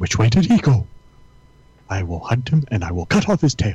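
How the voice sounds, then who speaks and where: This is a put-on character voice with a menacing tone. It moves at a moderate pace. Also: man, medium pitch for a man. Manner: menacing, cartoonish.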